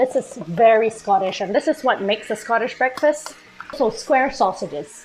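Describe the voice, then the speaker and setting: Music plays in the background as a woman speaks at a fairly high pitch and moderate pace with lively intonation. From Malaysia. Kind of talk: casual talk to camera.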